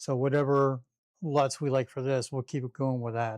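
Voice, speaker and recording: A man at medium pitch and moderate pace, fairly even in intonation, with a dry, close sound, no echo, and a quiet background. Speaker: live streamer testing camera gear. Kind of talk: casual live-stream setup talk. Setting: live stream home setup. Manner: loud; rambling, halting with repeats.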